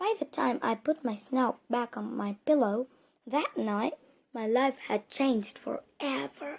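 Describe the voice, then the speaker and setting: A put-on character voice, female-sounding and high in pitch. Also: fairly slow pace. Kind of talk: children's book read-aloud. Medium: read story.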